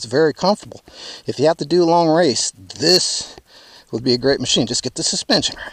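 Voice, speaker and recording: A man with an American accent and a plain, everyday voice talks at a fairly quick pace and fairly high pitch, with lively intonation and big swings in loudness, in a dry, close sound with no echo. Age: 60s. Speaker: motorcycle dealer. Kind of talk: casual product review.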